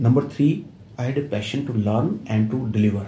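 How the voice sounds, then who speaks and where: A man's somewhat breathy voice in a dark, mellow tone, at a fairly quick pace, with audible room echo. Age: 70s. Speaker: company secretary. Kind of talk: interview.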